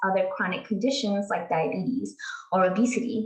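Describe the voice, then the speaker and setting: At a moderate pace, a woman speaks at medium pitch with ordinary pitch variation over noticeable background noise. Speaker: pharmacist. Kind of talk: presentation.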